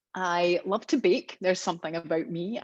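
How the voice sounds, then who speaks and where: A woman with a Scottish accent speaks at a medium pitch and moderate pace with lively intonation, in a dry, close sound with no echo over a quiet background. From Scotland, Glasgow. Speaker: professional development trainer. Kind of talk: online training webinar. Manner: chatty.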